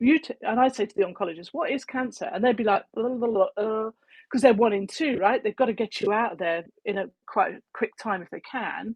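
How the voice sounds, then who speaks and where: A woman's fairly high voice with an English accent, ordinary pitch variation and a fairly quick pace. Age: 60s. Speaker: cancer prevention advocate. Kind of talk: casual chat. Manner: animated.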